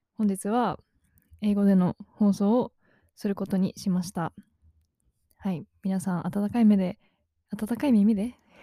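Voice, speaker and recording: In a dry, close sound with no echo, a somewhat breathy woman of medium pitch keeps her intonation fairly even. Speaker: podcast host, university student. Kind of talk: casual monologue. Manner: halting.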